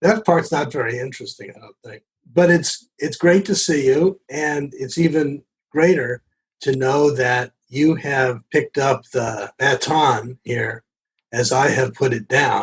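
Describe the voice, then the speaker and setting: Recorded dry and close without echo, a man speaks fairly slowly in a somewhat breathy, fairly high voice. His pitch varies in an ordinary way while his loudness swings a lot. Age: 70s. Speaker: addiction medicine physician. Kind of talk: podcast interview.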